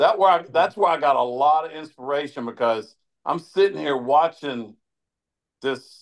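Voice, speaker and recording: In an ordinary speaking voice, a man talks at a fairly high pitch. His pace is moderate and his intonation lively. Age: 60s. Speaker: grip strength athlete. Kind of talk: podcast interview.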